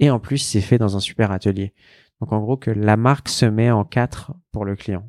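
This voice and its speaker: A man with a plain, everyday voice speaks at a fairly low pitch and moderate pace, with fairly even intonation and a dry, close sound with no echo. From Paris, France. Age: 20s. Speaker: fashion brand founder. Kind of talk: casual interview. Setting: in a shop.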